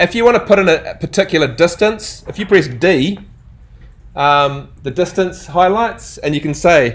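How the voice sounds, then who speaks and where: The speaker is a man with a high pitch. His intonation is lively. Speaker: architecture software teacher. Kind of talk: live workshop lecture. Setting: classroom with students. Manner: fast; casual, conversational.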